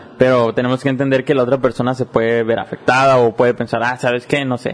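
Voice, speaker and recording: A medium-pitched male voice with a Mexican accent. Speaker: podcast host and university student. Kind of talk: casual interview chat.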